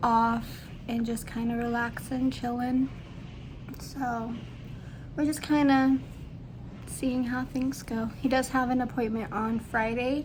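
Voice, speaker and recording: A woman with a high pitch speaks at a fairly slow pace in a monotone, flat way. Long, frequent pauses break up her speech, and the room echo is audible. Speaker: vlogger, new parent. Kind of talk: casual vlog update. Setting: at home. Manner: soft-spoken; hesitant with fillers.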